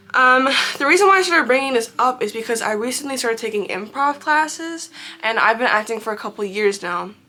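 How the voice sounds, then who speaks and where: A woman talks at a very fast pace in an animated tone, her high pitch moving with lively intonation. Background noise is noticeable. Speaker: vlogger and actor. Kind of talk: casual advice monologue.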